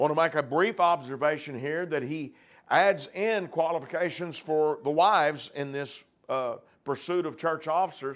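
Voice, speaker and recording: Here is a plain, everyday voice from a man with a fairly high pitch. He speaks at a moderate pace with ordinary pitch variation. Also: very clean recording, silent background. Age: 60s. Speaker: preacher. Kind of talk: sermon; reading aloud.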